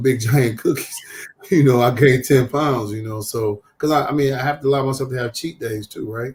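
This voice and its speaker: Delivered in a plain, everyday voice, the speech moves at a fairly quick pace with fairly even intonation. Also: man. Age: 50s. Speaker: social worker. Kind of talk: talk show interview.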